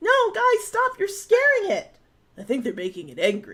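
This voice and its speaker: Putting on a character voice, a woman speaks at an extremely high pitch. It comes out squeaky at a moderate pace. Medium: game stream.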